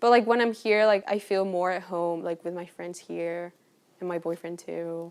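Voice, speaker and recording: A woman with a Spanish accent and a fairly low voice speaks at a moderate pace with fairly even intonation, while her loudness swings widely. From Colombia. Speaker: university student. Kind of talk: casual interview.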